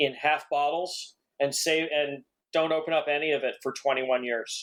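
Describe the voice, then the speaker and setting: This man has a normal speaking voice with an American accent, fairly high pitch, ordinary pitch variation and a moderate pace. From New Jersey. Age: 50s. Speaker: mixologist and food writer. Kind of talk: casual interview chat.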